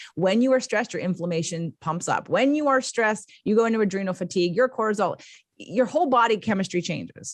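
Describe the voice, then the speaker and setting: Against a quiet background, a woman with a fairly high pitch talks at a very fast pace in an animated tone with lively intonation. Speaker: life coach and podcaster. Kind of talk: interview.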